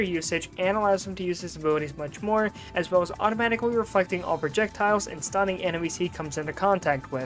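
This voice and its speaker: Over music in the background, the speaker goes at a very fast pace with ordinary pitch variation. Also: woman. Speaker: game reviewer. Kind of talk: video game review narration.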